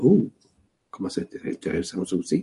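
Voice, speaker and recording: With a Quebec accent, a man talks in a dark, mellow tone marked by vocal fry. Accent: Québécois French. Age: 60s. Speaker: spiritual teacher. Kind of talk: spiritual teaching.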